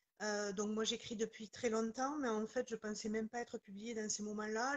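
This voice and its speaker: Her fairly high-pitched voice stays monotone and flat. This woman keeps a moderate pace with hardly any pauses. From southwestern France, near Toulouse, Pyrenees. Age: 40s. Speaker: author. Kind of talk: interview.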